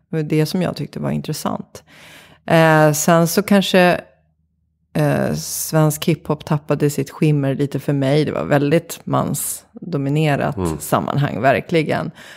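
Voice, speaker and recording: A woman talks fairly slowly in a very deep, low voice with ordinary pitch variation, on a very clean recording with a silent background. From Sweden, Vattholma (Uppsala area). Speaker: creative director and organisational consultant. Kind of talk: interview conversation. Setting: home kitchen studio.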